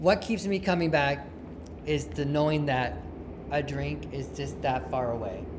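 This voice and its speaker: At a moderate pace, a man speaks in a medium pitch against noticeable background noise. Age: 60s. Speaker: recovering alcoholic sharing at a recovery meeting. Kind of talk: testimony. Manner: conversational, with false starts and fillers.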